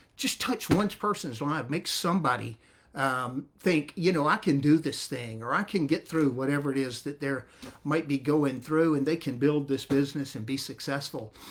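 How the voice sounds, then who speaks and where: A man's fairly high voice with a Southern US accent, moderate in pace, with ordinary pitch variation. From US South, north Florida. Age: 60s. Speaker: network marketing distributor. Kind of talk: testimony. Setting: livestream.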